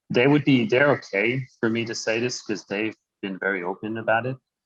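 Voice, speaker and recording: Dry and close, with no echo, the recording captures a man with a French Canadian accent. His pitch is medium, with ordinary variation. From Quebec, Canada. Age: 30s. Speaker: social enterprise co-founder. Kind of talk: interview. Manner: halting.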